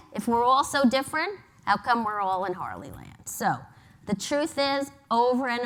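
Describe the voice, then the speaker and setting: A woman with a New York accent talks at a moderate pace. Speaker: advertising agency executive. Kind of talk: conference talk. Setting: stage with audience.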